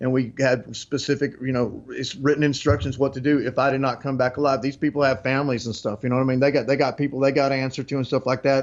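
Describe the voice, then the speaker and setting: A very fast, monotone delivery in a West Texas accent, flat in intonation with hardly any pauses. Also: man, medium pitch for a man. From West Texas, Lubbock. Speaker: interview guest, self-described occult insider. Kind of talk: interview. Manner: halting, many fillers and restarts.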